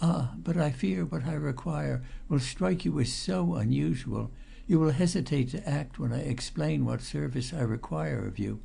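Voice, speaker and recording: A hoarse, put-on character voice from a man at a moderate pace, against clear background noise. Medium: read story. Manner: nervous, hesitant.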